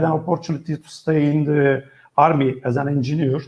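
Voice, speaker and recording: This man speaks with a Turkish accent in a fairly high pitch. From Turkey. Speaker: travel writer and tour operator. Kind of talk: interview. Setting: video call. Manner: halting.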